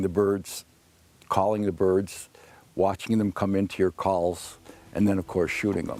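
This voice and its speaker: A very deep, low male voice with a dark, mellow tone and monotone, flat intonation. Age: 60s. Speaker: turkey hunter. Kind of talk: casual interview.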